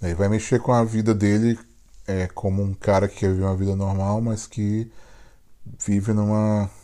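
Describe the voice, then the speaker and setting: This man's voice is fairly low and dark, mellow in tone, delivered in a monotone, flat intonation at a moderate pace with long, frequent pauses. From Brazil. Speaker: podcast co-host. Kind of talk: casual chat.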